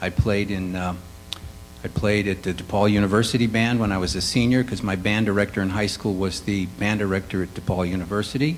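A man with an American accent speaks very fast in a fairly low pitch, with ordinary pitch variation and light background noise. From Chicago, west side. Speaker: composer and musician; panelist. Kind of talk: panel discussion. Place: hall.

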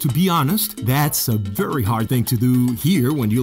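A man's medium-pitched voice with a Spanish accent, lively intonation and a moderate pace, with clear music in the background. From Mexico City, Mexico. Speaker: TV host. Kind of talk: casual talk to camera. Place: studio. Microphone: studio mic.

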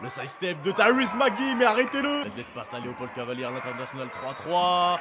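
A man with a high voice swings his pitch very widely while a crowd murmurs in the background. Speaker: basketball commentator. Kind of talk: live sports commentary. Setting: basketball game broadcast. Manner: fast, excitable play-by-play delivery, rising on big shots and dunks; breathless, with repeated phrases and restarts while tracking the action.

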